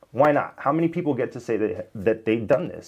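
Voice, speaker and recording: Lively intonation marks the speech of a man with an American accent. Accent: Miami US, toned down. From Miami, US. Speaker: YouTuber, software developer. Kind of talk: casual vlog monologue.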